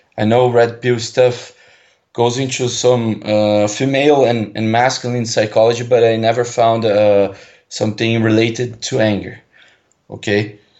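A man speaks at a medium pitch in a Portuguese accent. His delivery is moderate in pace, with monotone, flat intonation. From Brazil. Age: 20s. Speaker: caller. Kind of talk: call-in conversation. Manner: halting.

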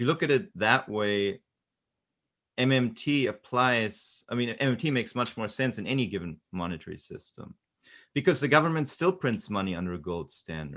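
Vocal fry runs through a man's medium-pitched voice as it moves in very wide pitch swings. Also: moderate pace, very clean recording, silent background. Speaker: economics commentator. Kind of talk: debate.

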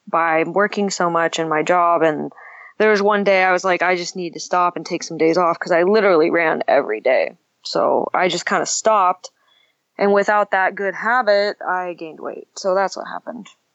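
At a moderate pace, a woman with a plain, everyday voice talks at a medium pitch with ordinary pitch variation. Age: 20s. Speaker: caller. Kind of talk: call-in conversation. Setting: phone or online call.

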